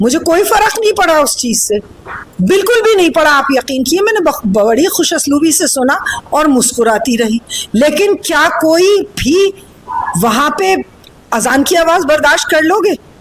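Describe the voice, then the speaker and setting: A woman's high pitch with very wide pitch swings and very even loudness, in an animated tone, with noticeable background noise. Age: 70s. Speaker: politician. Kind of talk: interview.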